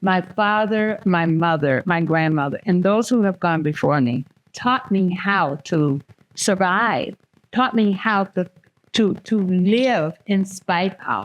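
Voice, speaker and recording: At a very slow pace, a woman talks with very even loudness. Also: medium pitch for a woman, ordinary pitch variation. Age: 80s+. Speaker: community elder and wellness center leader. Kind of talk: panel discussion. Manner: halting.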